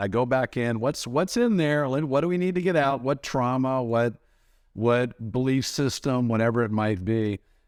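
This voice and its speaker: A man with an ordinary speaking voice talks at a medium pitch with ordinary pitch variation. The recording is very clean, with a silent background. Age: 60s. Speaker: podcast host. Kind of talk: podcast interview.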